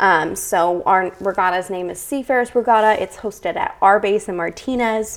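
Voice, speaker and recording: A woman with an American accent has an ordinary speaking voice, medium in pitch with ordinary pitch variation, moving at a moderate pace with hardly any pauses. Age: 20s. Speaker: youth program leader. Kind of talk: casual interview.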